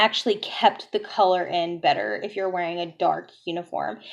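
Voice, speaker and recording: A woman uses a normal speaking voice with fairly even intonation. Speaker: nursing student and vlogger. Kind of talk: casual vlog tutorial.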